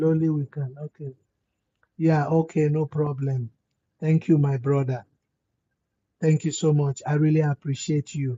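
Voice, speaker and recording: Speaking with monotone, flat intonation, a man uses a fairly high pitch and sounds somewhat breathy. He goes at a fairly slow pace with long, frequent pauses. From West Africa. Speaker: livestream host. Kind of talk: motivational livestream talk.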